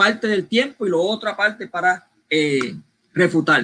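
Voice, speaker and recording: A man's high-pitched, raised and projected voice, bright and sharp in tone, with a Puerto Rican accent. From Puerto Rico. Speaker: debate moderator. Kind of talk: debate moderation.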